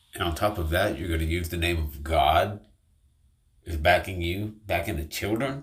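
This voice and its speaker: A man's very deep, low-pitched, somewhat breathy voice at a moderate pace with ordinary pitch variation. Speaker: online commentator. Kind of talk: video commentary rant. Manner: emphatic.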